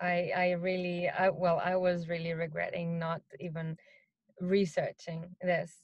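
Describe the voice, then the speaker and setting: A woman with a non-native accent, fairly low pitch, a fairly slow pace and monotone, flat intonation. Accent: noticeable non-native English. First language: not English. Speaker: marketing executive. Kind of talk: interview. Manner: hesitant, many fillers.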